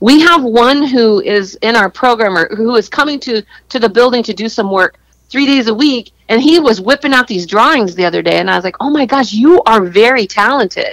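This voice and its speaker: An ordinary speaking voice from a woman, fairly high-pitched, with lively intonation and a fairly quick pace. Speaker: business owner. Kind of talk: casual chat.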